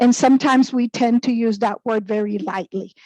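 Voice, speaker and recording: A woman with a Spanish accent speaks at a moderate pace with fairly high pitch and fairly even intonation. Her tone is dark and mellow, and the sound is dry and close with no echo. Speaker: human resources director. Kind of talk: panel discussion.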